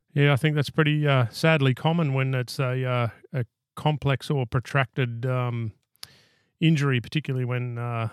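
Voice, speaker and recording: Recorded very cleanly against a silent background, with a dry, close sound and no echo, a man with an Australian accent speaks at a moderate pace and medium pitch with fairly even intonation. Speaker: podcast host. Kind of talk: casual interview chat.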